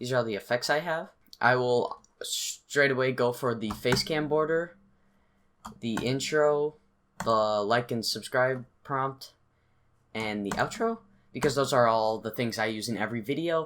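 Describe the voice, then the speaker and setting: Over light background noise, a man with a medium-pitched voice talks at a fairly slow pace with ordinary pitch variation and long, frequent pauses. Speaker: youtuber. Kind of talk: tutorial. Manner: casual. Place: home room.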